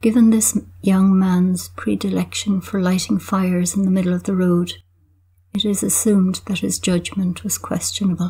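Somewhat breathy and dark, mellow in tone, this deadpan voice in an Irish accent keeps a monotone, flat intonation at a moderate pace. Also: woman, medium pitch for a woman. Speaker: poet. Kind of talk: poetry reading, measured and wry, with the dry humour of a village observer. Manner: measured, reflective.

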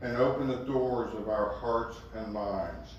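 With strong room echo and light background noise, a man speaks very slowly in a fairly even intonation. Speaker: pastor leading a service. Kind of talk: welcome and prayer. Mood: calm solemn. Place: hall.

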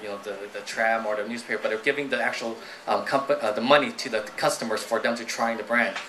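Quiet and very fast, a man speaks with fairly even intonation over light background noise. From United States (moved from Guangdong at age five). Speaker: startup founder and CEO; guest. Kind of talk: live onstage interview. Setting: stage with audience. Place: stage. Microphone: handheld.

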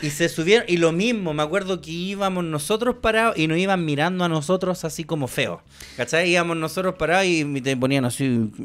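A man with a Chilean accent speaks at a fairly quick pace and a high pitch. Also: ordinary pitch variation. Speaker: podcast co-host. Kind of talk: casual chat. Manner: animated. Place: studio. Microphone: studio mic.

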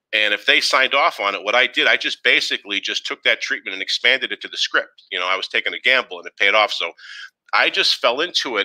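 Against a quiet background, a man with a Boston accent talks very fast in a bright, sharp tone with lively intonation. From Boston, Massachusetts. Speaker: former wrestling TV writer and artist. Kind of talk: live interview. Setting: video call. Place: home room. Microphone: headset.

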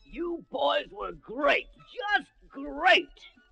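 A loud, booming put-on character voice fills the clip. Music plays behind it. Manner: booming, enthusiastic.

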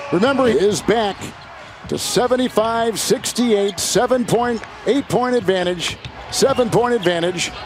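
With noticeable background noise behind him, a man speaks very slowly at a high pitch with ordinary pitch variation. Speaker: play-by-play basketball commentator. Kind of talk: live play-by-play basketball commentary, calling each pass and shot. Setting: broadcast booth at live game. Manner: playful, laughing banter with partner between plays.

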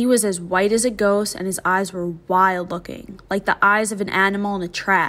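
A natural reading voice comes through, its intonation fairly even.

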